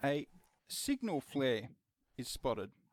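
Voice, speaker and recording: A man speaks at a very slow pace, his voice sounding dry and close with no echo. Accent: Australian. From Australia. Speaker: game master. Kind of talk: scene-setting narration.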